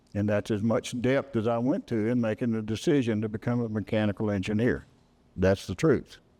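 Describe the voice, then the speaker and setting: A man speaks with a Texas accent at a fairly quick pace. His tone is dark and mellow. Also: medium pitch for a man, ordinary pitch variation. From Texas, Hill County. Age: 80s+. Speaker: retired space engineer. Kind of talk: public talk.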